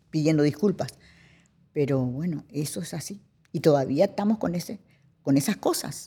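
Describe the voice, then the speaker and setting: A woman with a Paraguayan accent speaks at a moderate pace with long, frequent pauses, using a very deep, low pitch, a somewhat breathy, dark, mellow tone and lively intonation. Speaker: actress and cultural manager. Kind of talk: interview. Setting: cultural centre studio.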